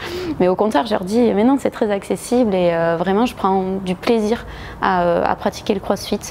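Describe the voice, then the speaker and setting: The speaker has a southwestern French accent and a moderate pace, with ordinary pitch variation. Loudness stays very even over noticeable background noise. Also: woman, medium pitch for a woman. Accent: southwest French. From southwest France (Agen). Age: 30s. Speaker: gym member, former boxer, lawyer. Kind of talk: interview testimony. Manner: hesitant, many filler sounds.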